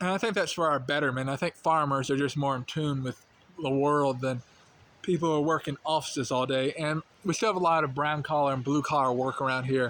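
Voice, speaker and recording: A man talks with a slight Southern US accent. His pace is fairly quick and his pitch fairly high. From North Carolina. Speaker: vlogger. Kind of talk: casual monologue. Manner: casual, with fillers.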